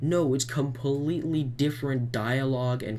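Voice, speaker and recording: A man speaks over noticeable background noise. His voice carries an audible echo from the room. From Canada, Manitoba. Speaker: YouTuber, vlogger. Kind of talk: rant. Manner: animated; halting, self-correcting.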